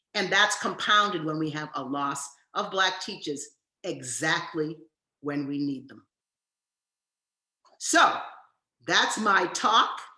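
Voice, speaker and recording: A woman speaks very slowly at a fairly low pitch with a bright, sharp tone, big swings in loudness and long, frequent pauses, and the room echo is audible. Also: ordinary pitch variation. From US Northeast (Massachusetts and New York). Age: 70s. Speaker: education professor. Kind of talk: lecture.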